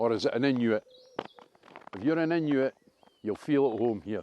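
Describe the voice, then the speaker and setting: A man with a Dundee accent speaks at a moderate pace and medium pitch with ordinary variation, the sound dry and close with no echo. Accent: Dundonian. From Scotland, Dundee. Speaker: vlogger. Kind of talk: walking video commentary. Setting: outdoors. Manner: animated.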